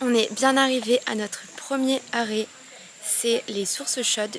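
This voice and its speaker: Fairly high in pitch, a woman speaks with fairly even intonation against noticeable background noise. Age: 20s. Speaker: travel vlogger. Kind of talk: travel vlog narration. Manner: casual, hesitant with fillers; whispering.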